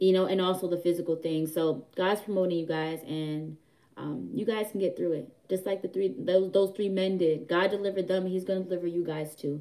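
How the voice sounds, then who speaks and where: A woman talks at a fairly quick pace and a medium pitch. Her tone is dark and mellow. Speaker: online prophetic minister. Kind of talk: livestream word of encouragement. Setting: live stream at home. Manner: fast; animated.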